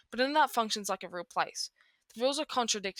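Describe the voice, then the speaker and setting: In an Australian accent, a woman speaks with ordinary pitch variation, recorded dry and close with no echo, very cleanly against a silent background. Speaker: music commentary YouTuber. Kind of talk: video essay narration. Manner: halting, with self-corrections.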